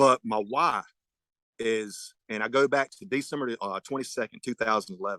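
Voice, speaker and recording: Recorded dry and close with no echo against a quiet background, a man with a Southern US accent speaks at a medium pitch in a bright, sharp tone with lively intonation. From North Carolina, Person County. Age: 40s. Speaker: sheriff candidate, deputy sheriff. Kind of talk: candidate forum closing statement. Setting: virtual forum. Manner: halting.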